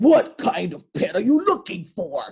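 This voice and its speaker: Someone performs a put-on character voice at a fairly high pitch and a moderate pace. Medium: read story. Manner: welcoming, cheerful.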